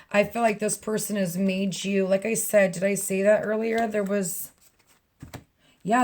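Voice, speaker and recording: Somewhat breathy and flat in a monotone, a woman speaks at a moderate pace and medium pitch. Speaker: tarot reader. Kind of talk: tarot reading monologue. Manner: casual, chatty.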